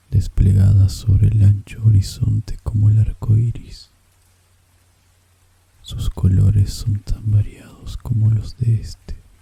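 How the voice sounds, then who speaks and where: Whispering and soft-spoken, the speaker moves at a very slow pace. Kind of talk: whispered audiobook narration of a literary story. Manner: whispered, soft.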